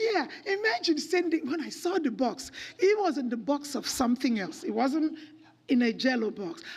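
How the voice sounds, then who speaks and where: The voice sounds animated, with very wide pitch swings. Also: woman. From Nigeria. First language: Nigerian native language. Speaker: children's home director. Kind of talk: church talk.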